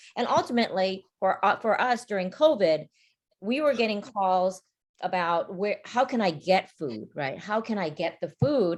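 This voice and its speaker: Using an ordinary speaking voice, a woman with an American accent talks at a moderate pace and medium pitch with lively intonation. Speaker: community organization leader. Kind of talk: virtual panel talk.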